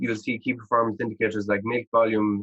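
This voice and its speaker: The man has an Irish accent. He talks at a fairly quick clip. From Ireland. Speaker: agritech startup founder and engineer. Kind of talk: podcast interview. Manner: hesitant, many fillers and repetitions.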